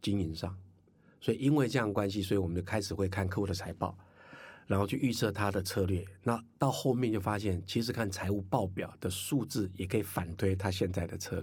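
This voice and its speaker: This man's voice is somewhat breathy and fairly low in pitch. He talks at a fairly quick clip with ordinary pitch variation. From Taiwan, Hakka. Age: 50s. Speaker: entrepreneur and finance course teacher. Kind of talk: interview. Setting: studio.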